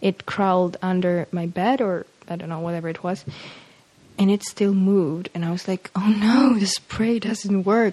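The speaker has a Polish accent and a moderate pace. The intonation stays fairly even. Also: woman, medium pitch for a woman. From Poland, Warsaw area. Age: 20s. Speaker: university student. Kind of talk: casual interview chat. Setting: home kitchen.

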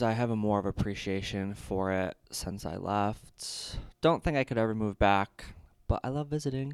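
With a normal speaking voice, a man talks at fairly low pitch and a moderate pace, showing ordinary pitch variation on a very clean recording with a silent background. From Michigan, Detroit area. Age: 20s. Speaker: former broadcast journalism student. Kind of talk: casual chat. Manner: laughs a lot.

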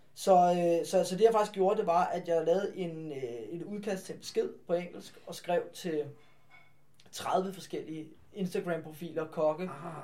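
With a high pitch and a dark, mellow tone, the man speaks at a fairly slow pace, his intonation fairly even but his loudness swinging widely. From Denmark, Farum (north Zealand). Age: 20s. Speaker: restaurant owner. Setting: restaurant. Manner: halting, frequent word repetitions.

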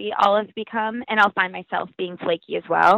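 A woman speaks at a fairly quick pace in a fairly high voice. It is an ordinary speaking voice. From rural US, farm. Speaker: speed dating partner. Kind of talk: casual chat.

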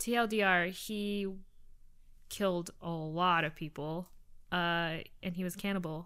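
Fairly low in pitch, a woman's voice has a bright, sharp tone and fairly even intonation. She goes at a very slow pace with long, frequent pauses. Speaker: podcast co-host. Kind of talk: casual chat.

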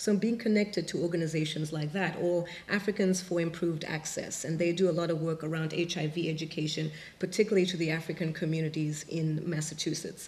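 A woman speaks at a fairly low pitch with fairly even intonation. Noticeable background noise runs underneath. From Zimbabwe. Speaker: artist. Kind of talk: panel discussion. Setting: stage with audience.

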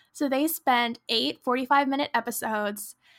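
At a fairly slow pace, a woman speaks at a high pitch in a dry, close sound with no echo, on a very clean recording with a silent background. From Pacific Northwest, US (near Seattle). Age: 20s. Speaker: podcast co-host, college student. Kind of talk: casual chat.

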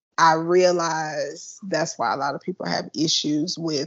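A woman's normal speaking voice, fairly low in pitch, at a fairly slow pace. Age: 30s. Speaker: funeral director. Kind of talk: casual chat.

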